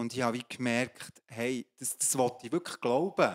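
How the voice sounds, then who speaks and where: A man at a medium pitch, fairly slow pace, quiet background. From Switzerland, Emmental (Bern); Switzerland. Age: 50s. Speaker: pastor and coach; pastor, coach. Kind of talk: testimony in a church talk service. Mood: earnest, personal testimony. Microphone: handheld.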